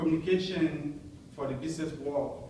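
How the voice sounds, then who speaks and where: A man's fairly high-pitched voice with ordinary pitch variation, audible room echo and noticeable background noise. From French-speaking background, Montreal. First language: French. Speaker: Toastmasters club member. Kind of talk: prepared speech.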